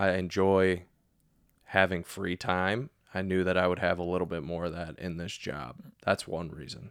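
This man's very deep, low voice moves with fairly even intonation. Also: moderate pace, very clean recording, silent background. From US Midwest, Cleveland, Ohio. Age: 20s. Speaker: finance consultant. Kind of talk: interview conversation.

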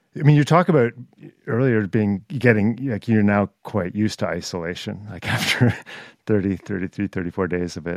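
A man with a normal speaking voice, a fairly low pitch, ordinary pitch variation, and a moderate pace. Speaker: podcast host. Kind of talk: podcast interview intro and conversation.

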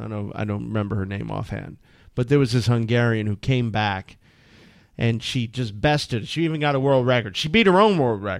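On a very clean recording with a silent background, a man with a plain, everyday voice speaks at a medium pitch with ordinary pitch variation. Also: fairly quick pace. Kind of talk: radio dj patter: casual co-host banter and teasing on air. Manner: dry, wry, jokey, chiming in mid-sentence.

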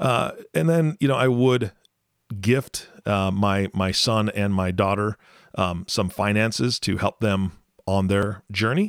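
In a very clean recording with a silent background and a dry, close sound with no echo, a man talks fairly slowly at a fairly low pitch, with very even loudness and ordinary pitch variation. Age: 40s. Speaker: podcast co-host. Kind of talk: casual chat.

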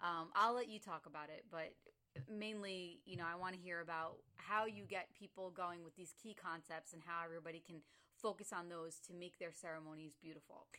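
This woman has a fairly low pitch and a bright, sharp tone, talking at a fairly quick pace with ordinary pitch variation and big swings in loudness. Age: 30s. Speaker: podcast host. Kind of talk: casual interview.

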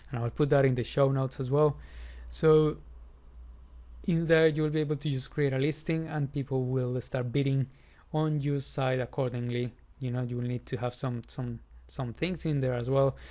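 A man with a medium pitch and a dark, mellow tone talks at a moderate pace in fairly even intonation, leaving long, frequent pauses. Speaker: podcast host. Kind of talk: solo educational podcast. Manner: informal, conversational.

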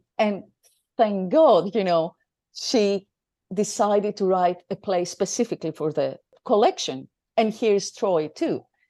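Dark, mellow tone in a Greek accent, with lively intonation, a fairly slow pace, long and frequent pauses, and a quiet background. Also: woman, medium pitch for a woman. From Greece. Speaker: theatre director and academic. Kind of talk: interview. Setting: studio.

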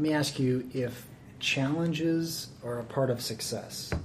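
A man with a medium pitch and fairly even intonation is heard through noticeable background noise. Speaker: podcast host. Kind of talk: interview, podcast intro.

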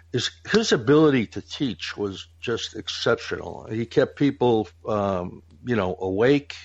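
A man with an ordinary speaking voice talks at a fairly slow pace and medium pitch, using lively intonation and hardly any pauses. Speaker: podcast host. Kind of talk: casual chat.

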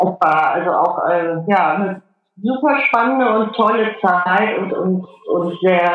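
Very slow, medium-pitched speech from a woman. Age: 50s. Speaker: adventurer and life coach. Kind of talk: interview. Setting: Skype call. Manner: hesitant, many fillers.

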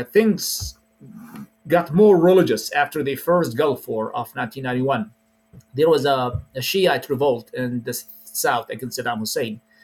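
Lively intonation runs through this fairly slow speech in an Arabic accent. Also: man, fairly high pitch for a man. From Iraq. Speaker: preacher. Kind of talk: interview.

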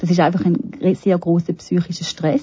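Somewhat breathy, a woman speaks at a fairly quick pace and a fairly low pitch, with fairly even intonation. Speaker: palliative care physician. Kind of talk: interview.

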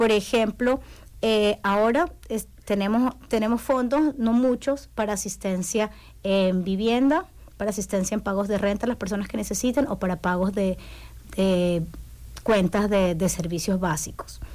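A woman's normal speaking voice, medium in pitch, at a fairly slow pace with ordinary pitch variation. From Ecuador, Guayaquil (coast). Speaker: community services worker. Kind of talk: radio interview. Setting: radio studio.

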